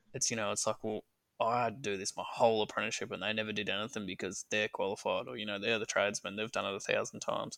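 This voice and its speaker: A man with an Australian accent speaks at a very fast pace, his fairly low pitch paired with a bright, sharp tone and fairly even intonation. The recording is very clean and silent behind him, dry and close with no echo. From northeast Victoria, Australia. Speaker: heating and cooling business owner. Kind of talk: casual interview chat.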